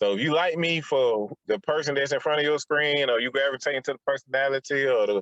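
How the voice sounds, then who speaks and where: The speech comes at a fairly quick pace with a Southern US accent. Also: man. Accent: Southern US, country. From Atlanta. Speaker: podcaster. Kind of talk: casual chat.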